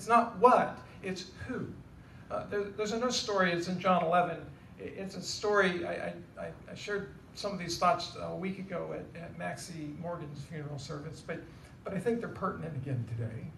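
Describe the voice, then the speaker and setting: Lively intonation and big swings in loudness mark this man's moderate-paced speech. Audible room echo and light background noise are present. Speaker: pastor giving a eulogy. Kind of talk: sermon. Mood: solemn, hopeful. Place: church.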